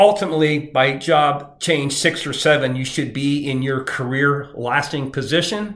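A man at a fairly high pitch, ordinary pitch variation, audible room echo. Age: 50s. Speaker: recruiter and podcast host. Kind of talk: solo advice podcast monologue.

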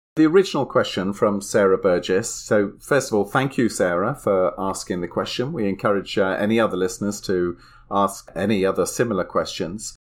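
The speaker has a British accent and a moderate pace. The recording is very clean, with a silent background. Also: man. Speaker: podcast co-host. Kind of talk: casual chat.

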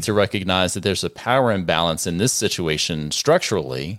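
Lively intonation marks a man's normal speaking voice at a fairly quick pace. The recording is very clean with a silent background. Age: 50s. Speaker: family lawyer and podcast co-host. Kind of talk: casual advice discussion.

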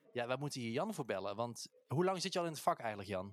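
The speaker is a man. His pitch falls in the medium range. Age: 30s. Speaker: podcast co-host, musical performer. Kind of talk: casual chat. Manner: animated, laughs often.

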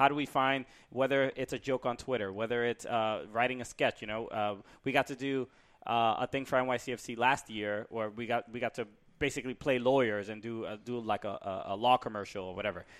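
Speaking at a fairly quick pace, a man holds a medium pitch with fairly even intonation. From Brooklyn, New York. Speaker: stand-up comedian and podcast co-host. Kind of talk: casual chat. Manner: halting.

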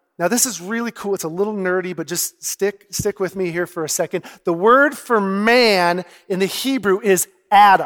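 Speaking at a moderate pace, a man uses a high voice with ordinary pitch variation. The sound is dry and close, with no echo. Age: 40s. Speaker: pastor. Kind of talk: sermon. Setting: church service with audience. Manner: conversational.

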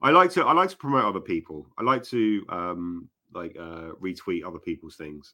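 With a British accent, a man speaks at a moderate speed. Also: big swings in loudness, very clean recording, silent background. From UK. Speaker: author. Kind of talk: casual interview chat. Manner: filler-heavy, hesitant.

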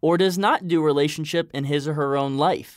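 A man speaks in a normal speaking voice at a fairly high pitch and moderate pace. The recording is very clean, with a silent background. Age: 20s. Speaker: podcast host. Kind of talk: motivational monologue; casual interview.

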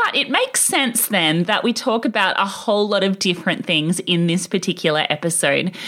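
Over noticeable background noise, a woman speaks at a fairly quick pace and medium pitch, with ordinary pitch variation, very even loudness and hardly any pauses. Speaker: podcast host. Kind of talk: podcast interview, casual chat.

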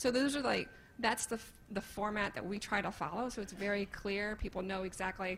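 With an American accent, a woman of medium pitch talks at a fairly quick pace in a somewhat breathy voice with fairly even intonation. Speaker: wealth manager and panelist. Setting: stage with audience.

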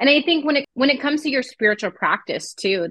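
Using a plain, everyday voice, a woman talks at a fairly quick pace with lively intonation. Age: 30s. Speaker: podcast co-host. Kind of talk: casual chat.

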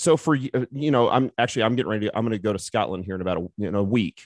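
A man with a plain, everyday voice, fairly low in pitch with ordinary pitch variation, at a fairly quick pace, in a dry, close sound with no echo over a quiet background. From US Midwest. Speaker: strength coach and fitness company founder. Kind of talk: interview.

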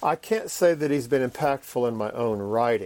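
A man talks in a normal speaking voice, with medium pitch and ordinary pitch variation. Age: 50s. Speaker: professor and preacher. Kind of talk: interview.

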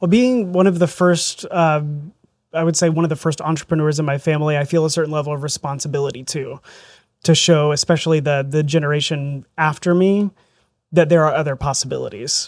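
Captured in a very clean recording with a silent background, a man with an American accent uses a normal speaking voice, a fairly high pitch, fairly even intonation and a fairly quick pace. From southern Indiana, rural. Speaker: real estate agent. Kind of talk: interview. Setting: studio.

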